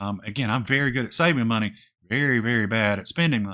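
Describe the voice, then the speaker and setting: A man with a medium pitch mumbles at a very fast pace, his tone bright and sharp and his intonation lively. The recording is very clean, with a silent background. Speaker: retirement finance youtuber. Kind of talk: casual vlog talk to camera. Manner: mumbling, voice drops off; hesitant with fillers.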